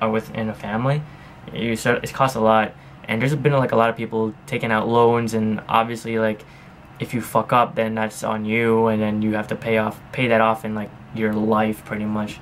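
Light background noise is present. Over it, a man talks at a fairly quick pace. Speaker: daily vlogger. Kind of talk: casual vlog chat. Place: home room. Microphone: camera far.

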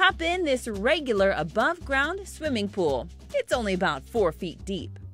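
Music playing behind a woman at a moderate pace. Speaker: TV reporter and host. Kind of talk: TV story voiceover narration.

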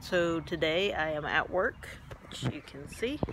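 Here a woman speaks at a fairly low pitch. Light background noise can be heard. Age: 40s. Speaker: flight nurse and cancer patient. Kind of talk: personal vlog; casual vlog chat. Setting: at work station. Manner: hesitant, many fillers. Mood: calm, matter-of-fact. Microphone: phone near.

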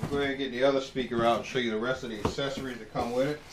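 A man at medium pitch, talking at a fast pace with fairly even intonation and audible room echo

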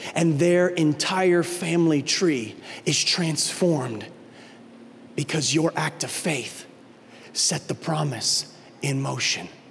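With a passionate tone, a man talks at a fairly slow pace, his fairly high pitch showing ordinary variation. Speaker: lead pastor. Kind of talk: sermon. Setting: church. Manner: animated; passionate, urgent, pleading. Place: stage. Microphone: handheld.

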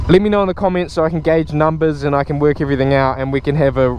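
A man talks very fast with ordinary pitch variation. The sound is dry with no echo, over light background noise. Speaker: motorcycle vlogger. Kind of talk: casual vlog chat. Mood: upbeat, enthusiastic. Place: street.

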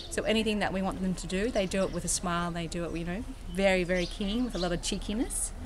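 Speaking very fast with an Australian accent, a woman keeps her intonation fairly even over noticeable background noise. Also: medium pitch for a woman. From Australia, Sydney. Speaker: volunteer. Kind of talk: casual interview testimony. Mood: warm, enthusiastic. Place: garden. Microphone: phone near.

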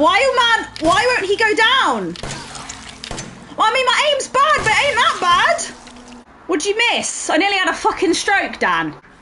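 Loud background noise fills the recording. A woman speaks with long, frequent pauses. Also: moderate pace. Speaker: game streamer. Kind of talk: gaming commentary.

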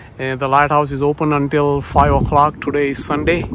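Amid noticeable background noise, a man talks at a moderate pace in a monotone, flat manner, the sound dry with no echo. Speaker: tourist narrator. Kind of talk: casual travel vlog narration. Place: open country. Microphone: phone near.

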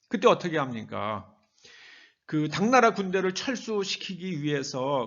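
Speaking at a very slow pace, a man with a fairly high pitch makes very wide pitch swings. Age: 70s. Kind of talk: sermon.

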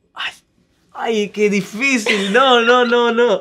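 Over light background noise, a man talks at a very slow pace. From Italy. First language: Italian (speaking Spanish). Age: 20s. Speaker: singer-songwriter; guest. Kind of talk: interview. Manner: halting. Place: studio.

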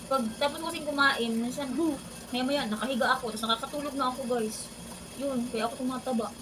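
Over noticeable background noise and audible room echo, a woman speaks at a very fast pace. Her high-pitched voice keeps a fairly even intonation. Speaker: vlogger and overseas domestic worker. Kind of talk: casual vlog chat while eating. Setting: in her room.

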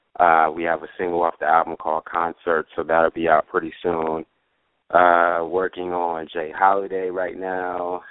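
A man speaks at a moderate pace in a very deep, low pitch, with monotone, flat intonation. The sound is dry with no echo, and the background is quiet. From New York. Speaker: music producer. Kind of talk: interview. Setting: phone call. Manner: halting, many fillers. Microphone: phone line.

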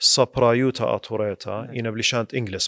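This man speaks at a medium pitch and a fairly slow pace, his intonation monotone and flat. The sound is dry with no echo, over a quiet background. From Iraq, Kirkuk; Iraq. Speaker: attorney. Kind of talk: casual interview. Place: studio. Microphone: studio mic.

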